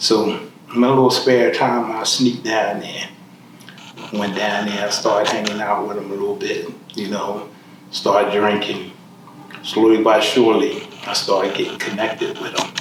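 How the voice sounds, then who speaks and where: A man talks at a moderate pace with long, frequent pauses, amid audible room echo and noticeable background noise. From Philadelphia, US. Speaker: formerly incarcerated man. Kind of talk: life story interview.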